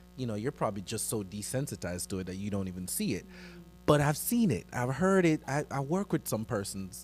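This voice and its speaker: With music in the background, a man speaks at a fairly quick pace, his pitch swinging very widely. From Jamaica. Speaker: church youth ministry member. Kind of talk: panel discussion.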